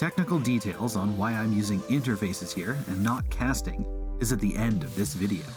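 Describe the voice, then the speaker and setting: Music in the background under a man's fairly low voice, with very wide pitch swings and hardly any pauses. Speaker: 3D art and game development tutorial creator. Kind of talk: software tutorial narration. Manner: quick, concise.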